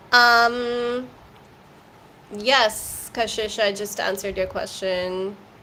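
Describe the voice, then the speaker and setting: At a very slow pace, a woman speaks with fairly even intonation and long, frequent pauses amid audible room echo. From India. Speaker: tarot reader. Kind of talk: live tarot reading answering chat questions. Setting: livestream.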